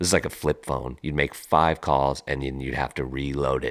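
Speaking at a moderate pace, a man with a very deep, low voice shows vocal fry. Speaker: podcast host. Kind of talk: casual storytelling monologue. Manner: casual, with filler words.

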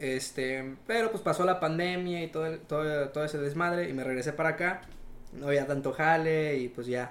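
Moderate pace from a man with a plain, everyday voice. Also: fairly high pitch for a man, ordinary pitch variation. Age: 20s. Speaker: young entrepreneur, welder. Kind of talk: casual interview chat.

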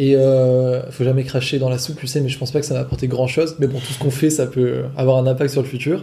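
Man's somewhat breathy, dark, mellow voice at medium pitch, monotone and flat, at a very fast pace with hardly any pauses. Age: 20s. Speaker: online course seller, copywriter. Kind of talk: casual chat. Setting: in person, on location.

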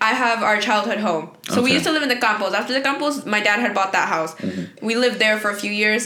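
The speech runs at a very fast pace with hardly any pauses and very even loudness. Pitch varies in an ordinary way, and there is noticeable background noise. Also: woman, fairly high pitch for a woman. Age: 20s. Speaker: law school student. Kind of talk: casual chat.

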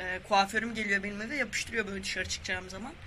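This man talks very fast. Behind his words, background noise is clearly noticeable. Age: 20s. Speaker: guest. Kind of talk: casual chat.

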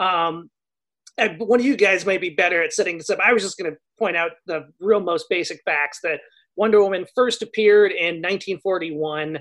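A man talks at a moderate pace in a high voice with ordinary pitch variation against a quiet background. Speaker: podcast co-host. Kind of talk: casual chat.

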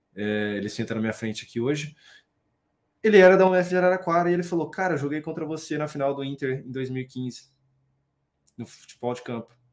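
Lively intonation marks this man's fairly high-pitched voice. He leaves long, frequent pauses. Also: fairly quick pace. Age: 20s. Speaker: financial market professional, math graduate. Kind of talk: casual interview on a live stream. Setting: online live stream.

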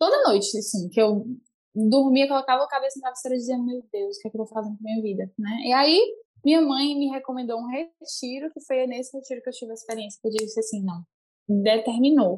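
A woman speaks very fast at a high pitch, with ordinary pitch variation. Her loudness swings widely. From Brazil, Fortaleza (Ceará). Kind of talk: casual chat, faith testimony.

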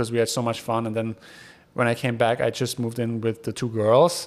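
A man with a German accent at a very fast pace. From Germany. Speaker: podcast host. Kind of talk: casual monologue. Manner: casual, hesitant with many fillers.

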